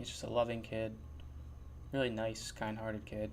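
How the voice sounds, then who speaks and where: There's audible room echo as a man speaks at a moderate pace and medium pitch. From New Jersey. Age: 20s. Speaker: podcast host. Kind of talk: casual monologue. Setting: sitting in his chair at home. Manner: mumbling radio-host style, put-on.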